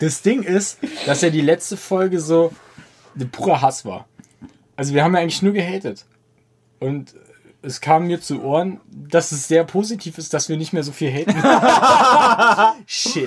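A man with a high pitch talks at a fairly slow pace with long, frequent pauses. His intonation is lively. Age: 20s. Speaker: podcast co-host. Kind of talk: casual chat.

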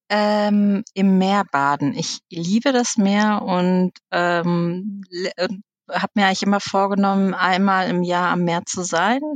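Recorded very cleanly with a silent background and a dry, close sound with no echo, a woman at a medium pitch speaks very slowly with fairly even intonation. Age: 40s. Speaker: management consultant. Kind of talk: casual interview.

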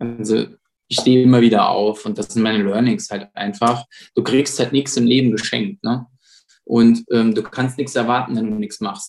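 A man speaks at a moderate pace with a plain, everyday voice, medium in pitch and fairly even in intonation. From Saarland, Germany (Saarbrücken). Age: 30s. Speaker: police officer and self-defense trainer. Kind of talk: casual interview.

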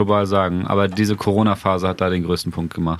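A man with a plain, everyday voice speaks at a moderate pace in a fairly low pitch on a very clean recording with a silent background. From Bremen area, northern Germany. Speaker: podcast host, journalist. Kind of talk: casual chat.

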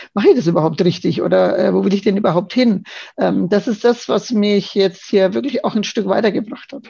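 Speaking at a moderate pace with vocal fry, a woman uses a medium pitch and ordinary pitch variation. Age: 50s. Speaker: yoga course participant, office manager. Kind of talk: casual interview. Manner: hesitant, many fillers.

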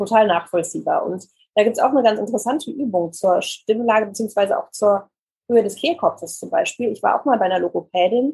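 A woman speaks at a fairly quick pace with a medium pitch, ordinary pitch variation, a dark, mellow tone, a husky, rough edge and vocal fry.

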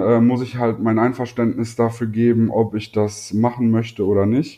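At a moderate pace, a man speaks with an unremarkable speaking voice at a medium pitch. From North Rhine-Westphalia, Germany. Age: 20s. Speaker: YouTuber with psoriasis. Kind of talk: casual interview.

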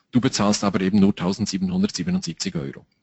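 The man's intonation is lively. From Switzerland. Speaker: time management trainer. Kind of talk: interview.

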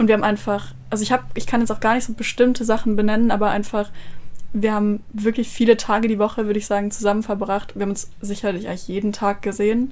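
A woman talks very fast in a fairly high pitch. Her intonation stays monotone and flat. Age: 20s. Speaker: psychology student. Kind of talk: casual chat.

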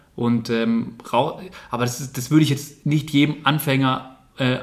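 A man with a normal speaking voice, medium pitch and ordinary pitch variation. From Bavaria, Starnberg near Munich. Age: 20s. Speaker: amateur dirt jump mountain biker. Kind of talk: casual interview chat.

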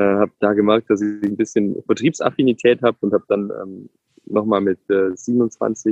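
This man has a normal speaking voice. He talks at a fairly low pitch and a moderate pace. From Ulm, southern Germany (Swabia). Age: 30s. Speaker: tech executive and father. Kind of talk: interview.

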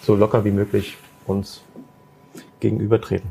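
A man speaks in a fairly low voice. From Magdeburg, Saxony-Anhalt, Germany. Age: 30s. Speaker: entrepreneur. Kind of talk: casual chat. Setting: café, filmed livestream.

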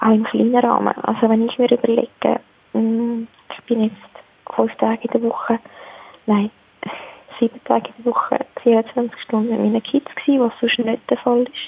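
A woman with a fairly high pitch talks at a moderate pace in a monotone, flat intonation. She takes long, frequent pauses over noticeable background noise. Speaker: mother, caller. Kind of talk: voicemail monologue. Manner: spontaneous.

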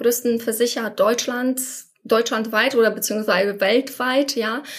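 At a moderate pace and with hardly any pauses, a woman talks in a high pitch with monotone, flat intonation. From Poland. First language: Polish (speaking German). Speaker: former coaching client, insurance professional. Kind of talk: interview.

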